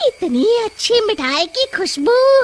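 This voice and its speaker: A woman does a cartoonish character voice. It is squeaky and extremely high-pitched. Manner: greedy, gleeful.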